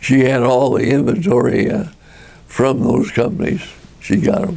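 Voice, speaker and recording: A man with a New Mexico accent, a fairly high pitch and very wide pitch swings, at a fairly slow pace over noticeable background noise. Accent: New Mexico, US Southwest. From Tucumcari, New Mexico. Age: 80s+. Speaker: retired furniture businessman. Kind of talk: deposition testimony.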